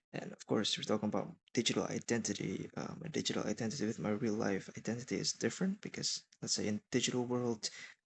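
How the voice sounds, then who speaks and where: A man with an Indonesian accent, very fast and lively in intonation, with hardly any pauses. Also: medium pitch for a man. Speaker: college student. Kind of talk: class presentation. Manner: halting.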